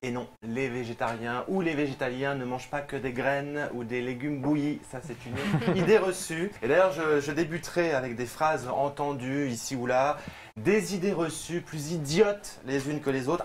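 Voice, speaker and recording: Speaking with a fairly high pitch for a man, he is heard over noticeable noise in the background. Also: ordinary pitch variation, moderate pace. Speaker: TV presenter. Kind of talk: TV talk show columnist segment.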